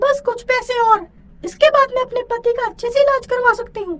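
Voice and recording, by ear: This is a cartoonish character voice, squeaky and extremely high in pitch. It moves along at a moderate pace.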